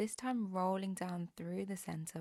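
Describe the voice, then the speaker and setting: At a fairly slow pace, a woman with a plain, everyday voice speaks with fairly even intonation, the sound dry and close with no echo. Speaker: pilates instructor. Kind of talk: follow-along workout instruction. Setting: home workout video, instructing while exercising.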